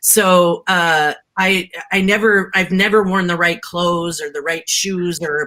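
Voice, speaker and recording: A loud voice with a bright, sharp tone. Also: woman. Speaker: tech entrepreneur. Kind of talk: panel discussion. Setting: live-streamed panel. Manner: energetic, emphatic.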